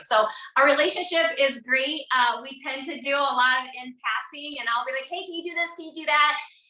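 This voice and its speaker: An animated woman speaks at a fairly quick pace with ordinary pitch variation against noticeable background noise. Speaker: network marketing entrepreneur, podcast guest. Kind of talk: casual interview. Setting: video call from home office. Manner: loud.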